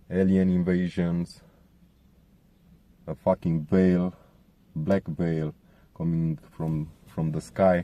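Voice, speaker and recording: A man with a Romanian accent speaks at a very deep, low pitch in a dark, mellow tone, with monotone, flat intonation. His pace is very slow with long, frequent pauses, and the sound is dry and close with no echo. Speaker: contributor sharing testimony. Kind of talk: testimony.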